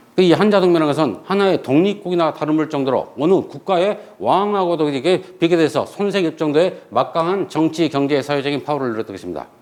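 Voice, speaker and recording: A man speaks at a very fast pace in a fairly high pitch. His tone is animated, with ordinary pitch variation. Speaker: history teacher. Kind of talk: lecture. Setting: classroom with blackboard.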